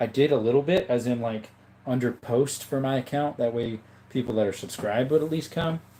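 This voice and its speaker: In an Appalachian accent, a man speaks at a fairly quick pace, his medium-pitched voice dark and mellow with ordinary pitch variation. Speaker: streamer. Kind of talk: casual, profane.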